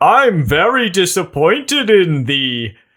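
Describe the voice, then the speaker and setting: A man puts on a character voice at a high pitch. His pitch swings very widely as he speaks at a fairly slow pace. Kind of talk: archaic, formal. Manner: disappointed, stern.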